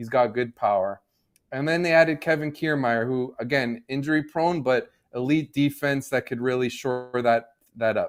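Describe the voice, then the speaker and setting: A man with a slight Canadian accent, medium pitch and ordinary pitch variation. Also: moderate pace. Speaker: sports betting analyst. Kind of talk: podcast discussion.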